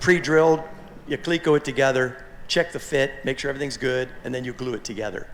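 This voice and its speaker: He talks at a very fast pace. His voice sits fairly high for a man, with ordinary pitch variation. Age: 60s. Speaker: aircraft kit manufacturer. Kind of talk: forum talk. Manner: halting, many repeated words.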